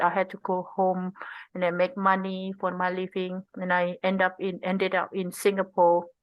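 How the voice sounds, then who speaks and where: With an Indonesian accent, a woman talks at a moderate pace in a medium pitch and a monotone, flat delivery. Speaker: tech design researcher. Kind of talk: interview conversation. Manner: halting.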